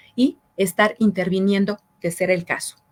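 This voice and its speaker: A woman speaks in a plain, everyday voice with fairly even intonation. The sound is dry and close with no echo. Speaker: public prosecutor's office official. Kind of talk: interview on public information.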